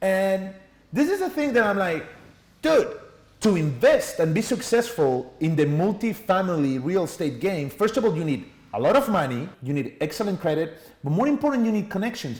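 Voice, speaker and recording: Here a man speaks in a high pitch with a Spanish accent. His pace is moderate and his pitch swings are very wide. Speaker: entrepreneur and sales trainer. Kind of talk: podcast interview.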